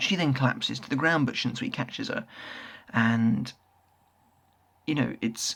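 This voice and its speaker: With a British accent, a man speaks at a fairly slow pace, leaving long, frequent pauses. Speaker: manga reviewer, YouTuber. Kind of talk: casual review monologue. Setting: at home, late night. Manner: quieter than usual.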